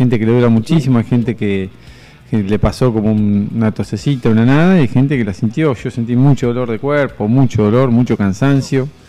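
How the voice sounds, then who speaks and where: With music in the background, a man speaks at a fairly quick pace and medium pitch, using ordinary pitch variation. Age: 40s. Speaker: medical doctor, health columnist. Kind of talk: radio interview, health column.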